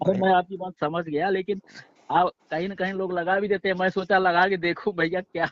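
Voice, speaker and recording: A man talks at a high pitch and a moderate pace. His intonation stays monotone and flat. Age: 60s. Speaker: caller, dairy farmer. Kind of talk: phone-in debate. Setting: phone call.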